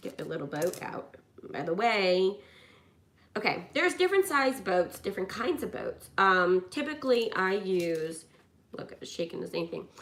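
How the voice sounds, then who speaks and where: A woman speaks at a fairly slow pace and a medium pitch. Her intonation is lively. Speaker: YouTuber doing a craft/coloring video. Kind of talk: casual chat to camera while crafting. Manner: loud; rambling, with many fillers and restarts.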